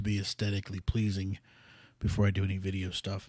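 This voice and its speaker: A man speaks very fast in a fairly low, somewhat breathy voice. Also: dry, close sound with no echo. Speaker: podcast host. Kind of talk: casual monologue. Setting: home studio. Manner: halting, many fillers.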